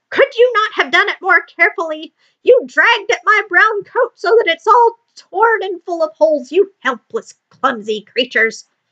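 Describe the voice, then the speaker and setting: A woman's put-on character voice, shrill and squeaky at an extremely high pitch, raised and projected, at a moderate pace with hardly any pauses. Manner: indignant, scolding.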